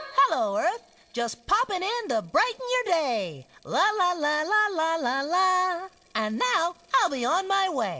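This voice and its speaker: Using a put-on character voice, a woman sings out in a cheerful, sing-song tone at an extremely high pitch, with very wide pitch swings and a fairly slow pace. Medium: cartoon. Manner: cheerful, sing-song, then pained.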